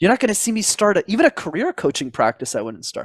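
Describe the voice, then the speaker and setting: A man's animated tone with very wide pitch swings and a very fast pace, dry and close with no echo, on a very clean recording with a silent background. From Quebec, Montreal. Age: 20s. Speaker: public speaking coach. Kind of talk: interview.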